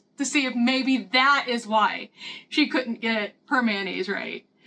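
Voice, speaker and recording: A woman's high, raised and projected voice with a bright, sharp tone, ordinary pitch variation and a Midwestern accent. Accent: Midwestern rural, self-described hick. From US Midwest, Missouri. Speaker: lifestyle vlogger. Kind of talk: casual vlog talk, book review and cooking tutorial. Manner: chatty, animated.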